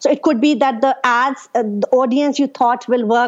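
A woman speaks with a high pitch. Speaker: Facebook ads specialist. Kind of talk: interview answers, casual conversation. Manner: fast talker, loud.

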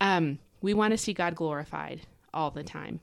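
This woman's pitch is very deep and low, with ordinary variation and vocal fry. The recording is very clean, with a silent background. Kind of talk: Bible teaching podcast monologue. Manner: fast; animated.

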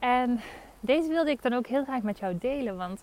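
At a moderate pace, a woman speaks high in pitch with very wide pitch swings. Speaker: podcast host. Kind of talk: casual monologue. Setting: outdoors. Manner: animated.

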